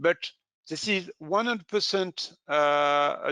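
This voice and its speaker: A man with a French accent speaks at a fairly slow pace in a high voice, his tone bright and sharp, his pitch varying in an ordinary way, with a dry, close sound, no echo and a quiet background. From France. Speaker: safety equipment specialist. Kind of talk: webinar presentation. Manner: halting.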